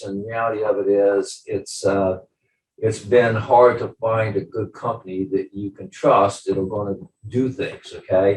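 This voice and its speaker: Somewhat breathy, a man speaks at a fairly low pitch and a fairly slow pace. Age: 70s. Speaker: business owner, client. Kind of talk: testimonial interview. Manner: halting, many fillers.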